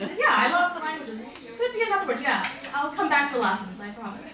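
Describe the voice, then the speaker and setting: With an American accent, a woman uses a raised, projected voice at a high pitch, with noticeable background noise and audible room echo. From US, Philadelphia. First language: Hindi and Punjabi. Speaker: writer, invited speaker. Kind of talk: speech at community event.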